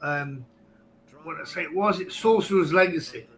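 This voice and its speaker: Here is a man with an English accent. His pitch is high. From England. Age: 50s. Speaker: podcast guest, online game player. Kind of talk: casual chat.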